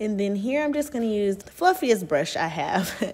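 Moderate-paced talking from a woman. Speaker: beauty vlogger. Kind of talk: casual talk to camera, get-ready-with-me tutorial. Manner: soft-spoken. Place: bathroom.

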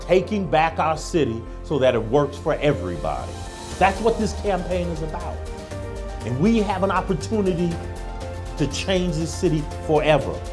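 Clear music plays in the background as a man speaks at a moderate pace. His pauses are long and frequent. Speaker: candidate. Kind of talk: campaign speech. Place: bar. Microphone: handheld.

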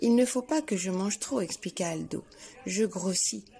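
What plays here is plain reading aloud.

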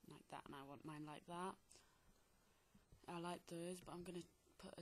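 This woman has a fairly low pitch and speaks in a monotone with flat intonation. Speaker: software tutorial maker. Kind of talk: casual screen-recording tutorial narration. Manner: casual, chatty.

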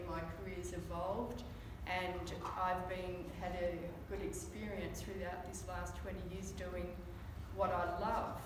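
A woman speaks at a fairly slow pace, leaving long, frequent pauses. Room echo is audible, and there is noticeable background noise. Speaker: fitness trainer giving a talk. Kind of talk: presentation talk. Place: meeting room. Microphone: camera far.

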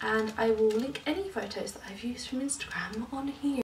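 A woman's fairly high voice with a southern English accent, at a moderate pace with ordinary pitch variation, over noticeable background noise. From London. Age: 20s. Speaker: lifestyle vlogger. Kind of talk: casual vlog. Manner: animated.

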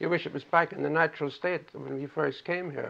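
The speaker is a man talking at a very fast pace. His intonation stays fairly even. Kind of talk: interview answer. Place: home room. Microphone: old recording.

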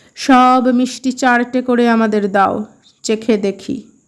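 A woman's gruff, put-on character voice, high in pitch, monotone and flat, at a fairly slow pace. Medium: read story. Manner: gruff, domineering.

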